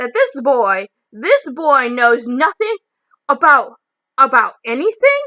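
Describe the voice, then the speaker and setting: Using a put-on character voice, a woman growls at a high pitch. Her pace is fairly slow. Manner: growling, angry.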